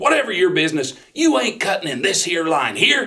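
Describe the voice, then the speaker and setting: Putting on a gruff character voice, a man talks at a fairly quick pace in a high pitch with very wide pitch swings. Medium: read story. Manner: gruff, barking.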